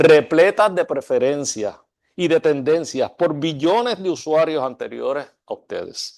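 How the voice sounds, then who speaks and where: Recorded dry and close with no echo and a quiet background, a man with a fairly high pitch talks at a very slow pace. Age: 60s. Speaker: architecture school dean. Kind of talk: lecture. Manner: formal.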